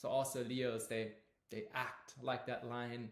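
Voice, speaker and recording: A man's medium-pitched voice with a non-native accent and audible room echo. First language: not English. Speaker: astrology teacher. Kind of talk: lecture. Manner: halting, with fillers.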